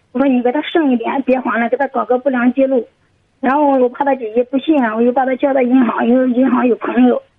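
A woman talks very fast in a high voice with fairly even intonation. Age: 30s. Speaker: caller seeking advice. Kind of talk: advice call-in. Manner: halting.

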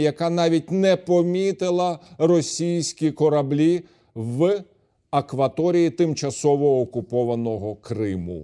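Speaking very slowly with a Ukrainian accent, a man uses a fairly high pitch, a dark, mellow tone and lively intonation. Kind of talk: TV interview. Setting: TV studio.

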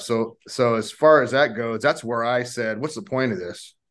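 The background is quiet. A man talks at a moderate pace and a medium pitch. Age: 50s. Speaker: retired police officer. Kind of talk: casual interview chat. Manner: succinct.

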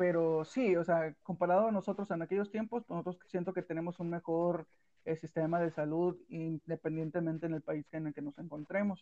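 This man has a dark, mellow tone and a high pitch, speaking at a moderate pace with fairly even intonation in a dry, close sound with no echo. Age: 20s. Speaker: podcast co-host. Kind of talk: casual chat.

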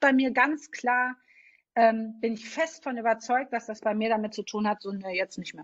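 This woman's voice is fairly high in pitch, with ordinary pitch variation and a moderate pace. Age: 40s. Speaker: podcast host. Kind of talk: interview. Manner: animated.

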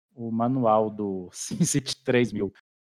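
Recorded dry and close with no echo over a quiet background, the man has a dark, mellow tone. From Brazil, interior of Minas Gerais. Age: 30s. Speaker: YouTuber, city-builder gamer. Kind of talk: casual interview.

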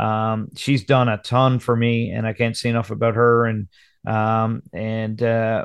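Against a quiet background, a man with a Newfoundland accent speaks at a medium pitch. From Newfoundland, Conception Bay South. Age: 30s. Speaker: country singer. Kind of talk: casual chat. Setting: video call.

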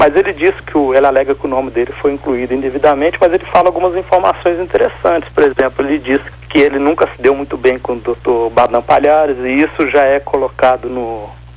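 A man with a fairly high pitch, talking at a very fast pace with hardly any pauses and ordinary pitch variation, over noticeable background noise. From Minas Gerais, Brazil. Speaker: ufologist, researcher. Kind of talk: interview. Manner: halting.

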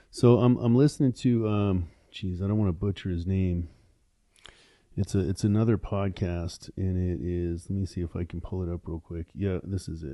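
With a very deep, low pitch, a man talks at a moderate pace and uses ordinary pitch variation. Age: 50s. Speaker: entrepreneur and podcaster. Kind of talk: casual interview chat. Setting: podcast studio.

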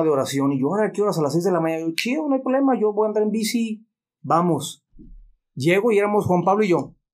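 Speaking at a very fast pace with lively intonation, a man with a Mexican accent comes through on a very clean recording with a silent background. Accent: Mexican Spanish (Jalisco). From Mexico, Guadalajara (childhood partly in Mexicali). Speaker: business consultant. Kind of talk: casual interview, personal testimony.

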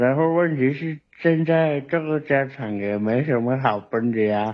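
A man talks very slowly, with his pitch shifting in an ordinary way. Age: 30s. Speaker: caller, car mechanic. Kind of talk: call-in advice show.

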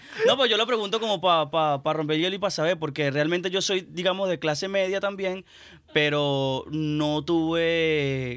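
The pace here is fairly slow. It is a normal speaking voice, and the pitch varies in an ordinary way. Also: man. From Venezuela. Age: young. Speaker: musician. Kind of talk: casual chat.

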